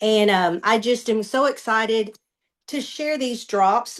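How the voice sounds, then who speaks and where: A fairly high-pitched woman in a Southern US accent, very slow, with ordinary pitch variation against a quiet background. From US South, Western Kentucky. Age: 60s. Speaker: customer giving a testimonial. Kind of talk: testimony. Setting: video call.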